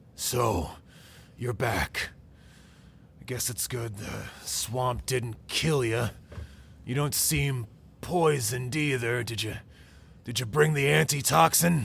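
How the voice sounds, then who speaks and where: In a put-on character voice, a man growls with a raspy sound at medium pitch and ordinary pitch variation, talking at a fairly slow pace with long, frequent pauses over clear background noise. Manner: curt, gruff.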